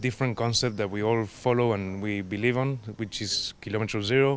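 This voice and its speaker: A man with a Spanish accent, medium pitch, fairly even intonation and a moderate pace. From Argentina, Patagonia. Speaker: restaurant owner. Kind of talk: interview. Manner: halting.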